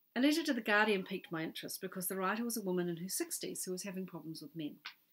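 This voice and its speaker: A woman speaks with a New Zealand accent at a very fast pace. Her pitch swings very widely. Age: 50s. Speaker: author. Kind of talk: reading aloud.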